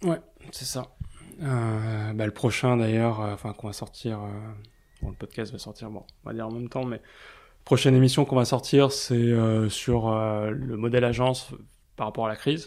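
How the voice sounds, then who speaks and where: Using fairly even intonation, a man speaks at a moderate pace with long, frequent pauses. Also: medium pitch for a man. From Paris. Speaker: advertising blog founder. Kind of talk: casual interview. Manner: hesitant, many fillers.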